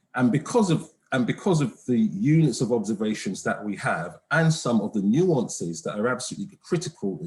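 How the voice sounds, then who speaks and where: A man's pitch swings very widely as he talks at a moderate pace. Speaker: conference presenter, economist. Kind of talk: academic presentation. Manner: hesitant, many fillers; soft-spoken. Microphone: too quiet, far from the mic.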